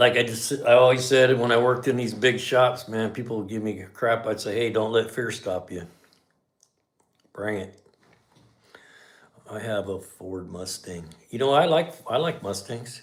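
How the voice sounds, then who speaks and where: The speaker's tone is relaxed, at a moderate pace with ordinary pitch variation. Loudness swings widely, and there are long, frequent pauses. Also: man. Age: 60s. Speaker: garage channel host, mechanic. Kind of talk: casual livestream chat. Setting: livestream. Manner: relaxed, conversational.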